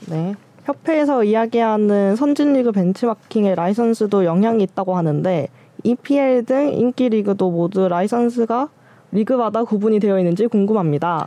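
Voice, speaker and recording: Her voice is fairly high in pitch, with a dark, mellow tone. The woman speaks at a moderate pace with lively intonation and very even loudness. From Busan, South Korea. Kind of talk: reading aloud listener comments.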